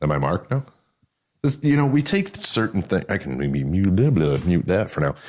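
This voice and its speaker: With an American accent, a man with a very deep, low voice and vocal fry speaks at a moderate pace through very wide pitch swings. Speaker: podcast host. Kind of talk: casual chat. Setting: garage studio, remote call.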